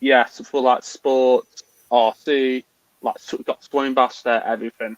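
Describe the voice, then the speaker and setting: In an English accent, a man speaks at a fairly slow pace and a medium pitch with monotone, flat intonation, the sound dry and close with no echo. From England, Newcastle-under-Lyme, Staffordshire. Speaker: RC car racer. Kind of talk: casual interview chat.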